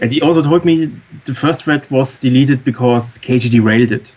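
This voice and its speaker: Somewhat breathy, a man speaks with a strong German accent and fairly even intonation. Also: long, frequent pauses. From Germany. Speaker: former forum moderator. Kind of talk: podcast interview. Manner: halting.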